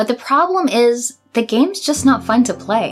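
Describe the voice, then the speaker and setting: With music in the background, a woman speaks at a moderate pace. Her fairly high voice carries lively intonation. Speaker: video game commentator. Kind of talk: game review voice-over.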